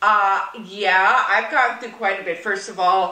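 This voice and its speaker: Over noticeable background noise and audible room echo, a woman with a medium-pitched voice speaks at a fairly slow pace with ordinary pitch variation. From Massachusetts, US. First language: Yiddish. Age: old. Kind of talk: interview.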